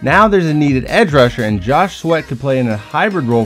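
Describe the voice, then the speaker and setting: A man's fairly quick speech over music in the background. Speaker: sports commentator. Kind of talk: sports analysis narration.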